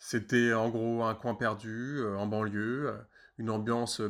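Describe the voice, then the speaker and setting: A man speaks at a very slow pace in a monotone, flat intonation. The recording is very clean, with a silent background. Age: 30s. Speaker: former colleague recounting office football. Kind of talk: mock radio testimony. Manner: halting, many repetitions and hesitations.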